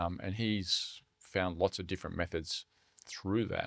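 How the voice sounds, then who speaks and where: A man's very deep, low voice with an Australian accent, fairly slow and fairly even in intonation, on a very clean recording with a silent background. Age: 60s. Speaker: charity CEO. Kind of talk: podcast interview.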